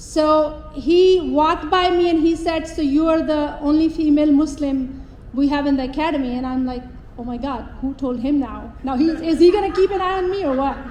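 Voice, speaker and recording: Over noticeable background noise and audible room echo, a woman with a Pakistani accent speaks at a moderate pace in a high pitch with ordinary pitch variation. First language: not English (English is her third language). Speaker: police officer. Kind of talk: public speech. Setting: stage with audience.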